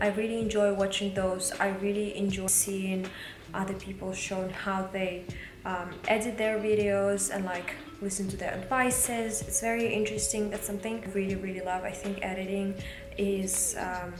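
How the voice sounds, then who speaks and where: With a Russian accent, a woman at a medium pitch speaks at a moderate pace and with fairly even intonation, amid audible room echo and noticeable background noise. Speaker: vlogger. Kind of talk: casual vlog talk. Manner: halting.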